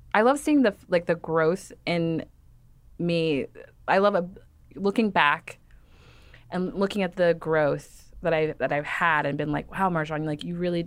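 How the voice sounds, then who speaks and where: In a very clean recording with a silent background, a woman with an American accent and an unremarkable speaking voice talks at a fairly slow pace, her fairly low pitch moving with ordinary variation. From Texas, Dallas suburbs. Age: 30s. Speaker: fashion writer. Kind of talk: interview.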